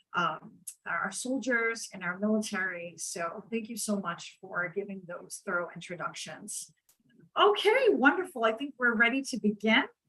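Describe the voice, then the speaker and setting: A woman with an American accent and a fairly high pitch, bright and sharp in tone, at a moderate pace with lively intonation and big swings in loudness. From New York. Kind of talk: moderated panel discussion. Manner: hesitant with many fillers.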